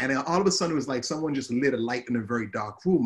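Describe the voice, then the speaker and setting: A man's somewhat breathy, animated tone with an Antiguan accent, medium pitch, lively intonation and a very fast pace. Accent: Antiguan Caribbean English. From Antigua, Caribbean. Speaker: social media advertising coach. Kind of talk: interview conversation.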